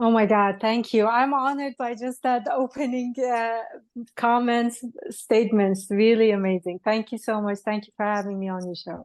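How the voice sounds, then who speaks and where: The woman's voice is fairly high-pitched and moves at a moderate pace. Her intonation is fairly even, in a dry, close sound with no echo. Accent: Persian. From Iran, moved to US at eleven. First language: Persian. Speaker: spiritual healer and author. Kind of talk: podcast interview.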